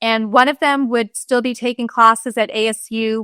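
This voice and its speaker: Fairly high in pitch, a woman speaks at a moderate pace in a monotone, flat intonation with a bright, sharp tone. The sound is dry and close with no echo, on a very clean recording with a silent background. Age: 60s. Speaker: pharmacist. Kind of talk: casual chat.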